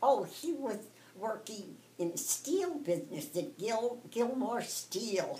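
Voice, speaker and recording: The speech moves at a very slow pace with very wide pitch swings. Background noise is noticeable. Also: woman, fairly high pitch for a woman. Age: 80s+. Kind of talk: interview answer.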